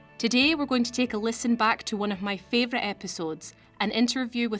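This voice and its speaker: This woman talks with a Scottish accent. Her pitch varies in an ordinary way. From Scotland. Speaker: podcast host, legal recruiting coordinator. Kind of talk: scripted podcast intro.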